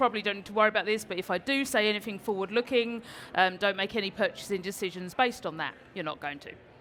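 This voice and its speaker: With a British accent, a woman talks in an enthusiastic, bright and sharp tone, her pitch varying in an ordinary way. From London, England. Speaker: Salesforce instructor and conference speaker. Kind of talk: conference talk. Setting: stage with audience.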